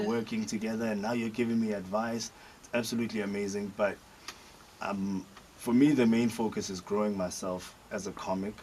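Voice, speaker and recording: Over noticeable background noise, a man speaks in a fairly low, monotone, flat voice whose loudness swings a lot. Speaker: comedian, radio personality, voice over artist. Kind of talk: interview answer. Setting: studio. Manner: casual, chatty, humorous.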